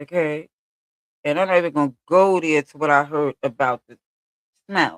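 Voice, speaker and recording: A woman with a Brooklyn accent talks in an animated tone at a fairly slow pace. Her pitch varies in an ordinary way, and the sound is dry and close with no echo. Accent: New York (Brooklyn). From Brooklyn, New York. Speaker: streamer. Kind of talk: casual livestream monologue.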